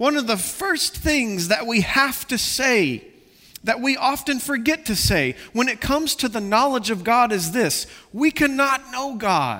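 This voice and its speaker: Projecting a raised voice, a man speaks at an extremely high pitch with a bright, sharp tone, lively intonation, and a fairly slow pace. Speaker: pastor. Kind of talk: sermon. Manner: passionate, loud at times.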